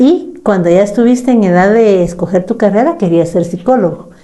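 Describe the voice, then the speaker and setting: With a dark, mellow tone, a woman talks at a fairly quick pace with lively intonation. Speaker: psychologist. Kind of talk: casual chat.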